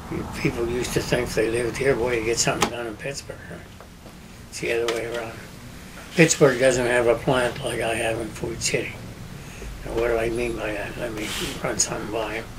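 A man with a western Pennsylvania accent, monotone and flat, at a fairly quick pace with long, frequent pauses over noticeable background noise. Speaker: business owner; interviewee. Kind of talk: oral history interview. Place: home room.

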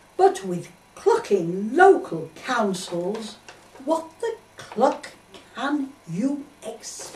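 A woman speaks very slowly at a high pitch, her voice swinging very widely in pitch and sharply in loudness, with audible room echo and light background noise. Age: 80s+. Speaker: poet. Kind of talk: comic poetry reading. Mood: indignant comic complaint. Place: home room. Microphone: camera far.

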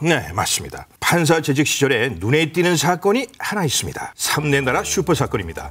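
Fairly high in pitch, a man with an unremarkable speaking voice uses lively intonation at a moderate pace with hardly any pauses. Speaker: voice actor. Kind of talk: TV segment narration of a profile. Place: studio.

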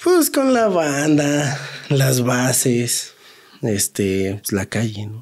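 Against a quiet background, a man speaks very slowly with a Mexico City accent. His intonation is lively. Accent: Mexico City Spanish (chilango). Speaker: taxi driver; guest. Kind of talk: casual storytelling. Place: studio. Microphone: studio mic.

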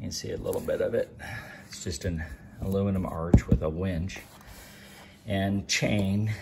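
Over light background noise, a man talks at a fairly slow pace with a somewhat breathy voice. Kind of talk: casual vlog chat. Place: garage. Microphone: phone near.

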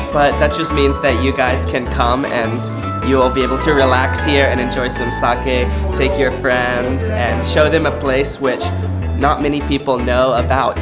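Over loud background music, a man talks at a moderate pace. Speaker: travel vlogger host. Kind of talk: casual vlog chat. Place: bar. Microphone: phone near.

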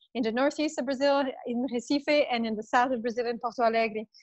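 A woman speaks at a high pitch with fairly even intonation. The sound is dry with no echo, and the background is quiet. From Canada. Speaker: trade commissioner, diplomat; presenter. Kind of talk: webinar discussion. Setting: video call. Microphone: video call.

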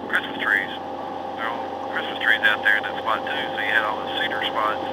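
Loud background noise surrounds a man speaking at a fairly quick pace. The sound is dry with no echo. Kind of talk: casual conversation. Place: boat.

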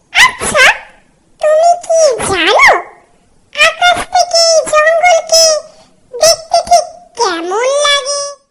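An extremely high, cartoonish character voice at a very slow pace. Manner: sly, scheming.

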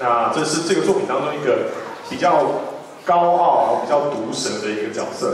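A man at a moderate pace amid light background noise and strong room echo. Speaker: event host. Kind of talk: emcee introduction. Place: stage.

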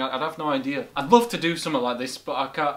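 A man talking at a very fast pace, with ordinary pitch variation. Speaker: reaction video host. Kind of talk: casual vlog chat. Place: home room.

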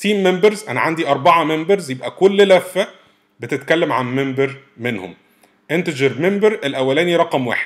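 A man with an unremarkable speaking voice, a fairly high pitch and lively intonation. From Egypt. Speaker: programming instructor. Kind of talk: tutorial.

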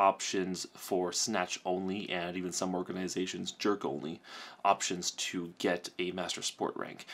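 A man with a very deep, low pitch. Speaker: kettlebell sport athlete and doctor; kettlebell athlete vlogger. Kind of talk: vlog monologue. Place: office.

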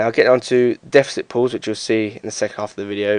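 The speaker mumbles in a monotone with flat intonation. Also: man, dry, close sound with no echo. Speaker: parkour and strength athlete. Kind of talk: fitness tutorial commentary. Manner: mumbling, hesitant.

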